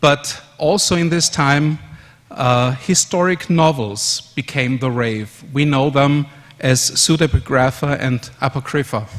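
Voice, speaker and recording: Over noticeable background noise, a man with a fairly high pitch speaks at a fairly slow pace. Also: ordinary pitch variation. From Austria, Vienna. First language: German. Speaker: conference speaker. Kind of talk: conference presentation.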